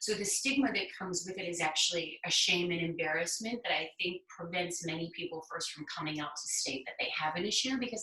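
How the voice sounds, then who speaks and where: A woman's unremarkable speaking voice, fairly low, at a moderate pace with ordinary pitch variation. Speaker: person in addiction recovery sharing experience. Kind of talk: conversational interview.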